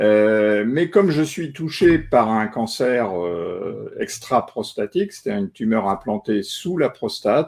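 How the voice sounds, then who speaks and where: Speaking at a very slow pace with hardly any pauses, a man uses a medium pitch with very wide pitch swings. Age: 60s. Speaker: retired journalist, cancer patient. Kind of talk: testimony. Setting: online live stream. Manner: halting, many filler euh.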